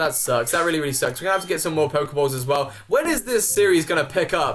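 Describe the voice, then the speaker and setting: Noticeable background noise surrounds a man talking at a very fast pace. His voice is fairly high and his tone is animated. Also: lively intonation. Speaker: gaming youtuber. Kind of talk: let's play commentary. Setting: home recording. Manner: casual, animated.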